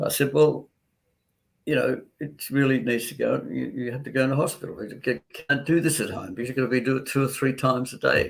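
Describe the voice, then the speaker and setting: A man with an Australian accent talks at a fairly quick pace, with vocal fry and ordinary pitch variation. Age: 80s+. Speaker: doctor. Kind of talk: interview. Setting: live online interview.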